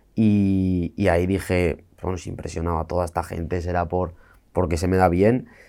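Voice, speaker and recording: A man speaks with a very deep, low pitch and a dark, mellow tone in a monotone, flat intonation. The recording is very clean, with a silent background. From Spain, rural Asturias. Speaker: freestyle rap battle champion. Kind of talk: interview.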